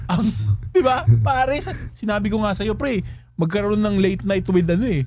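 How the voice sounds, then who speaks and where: The man's pitch is high, with ordinary variation. He keeps a moderate pace. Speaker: podcast co-host. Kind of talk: casual chat.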